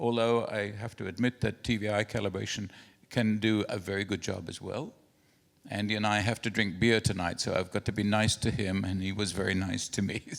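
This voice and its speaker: A man talks at a fairly quick pace in a fairly low, flat monotone. The recording is very clean, with a silent background. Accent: New Zealand. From New Zealand. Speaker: printing industry expert and inventor. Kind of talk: conference presentation. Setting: conference hall with projector and translators.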